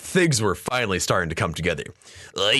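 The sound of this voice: The recording presents an unforced reading voice.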